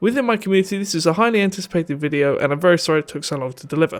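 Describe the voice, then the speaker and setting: In a British accent, a man talks very fast at a high pitch with ordinary pitch variation. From Britain. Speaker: gaming YouTuber. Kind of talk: video game commentary.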